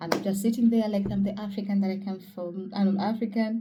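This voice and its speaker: Over noticeable background noise and audible room echo, a woman speaks at a medium pitch and a fairly quick pace. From Kenya, Mombasa. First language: Kenyan mother tongue (Swahili region). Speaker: vlogger. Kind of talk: casual vlog talk. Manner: casual, with frequent fillers.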